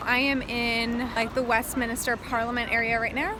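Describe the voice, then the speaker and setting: A high-pitched woman with an American accent at a moderate pace, against noticeable background noise. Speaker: travel vlogger. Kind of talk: vlog narration. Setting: outdoors on a busy road. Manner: animated; loud.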